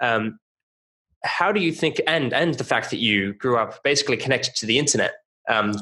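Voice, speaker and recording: Speaking in an Australian accent, a man with a bright, sharp tone goes at a fairly quick pace and fairly high pitch, his intonation lively. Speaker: podcast host. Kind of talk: podcast interview.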